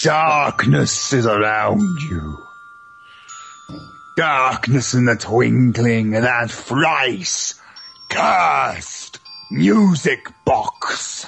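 A man growls through a put-on character voice at a very slow pace, his medium pitch making very wide swings. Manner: dark, dramatic, ominous.

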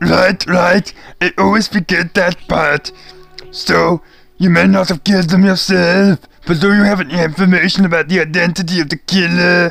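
Man's high-pitched voice at a moderate pace, with faint music in the background. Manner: blunt, accusing.

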